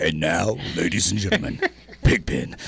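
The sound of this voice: Putting on a character voice, a man booms at a moderate pace with a very deep, low pitch over light background noise.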